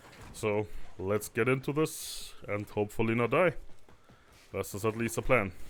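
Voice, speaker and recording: Music in the background behind a man at medium pitch, moderate pace and ordinary pitch variation, with long, frequent pauses. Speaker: gaming video creator. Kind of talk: gameplay commentary. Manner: quiet at times.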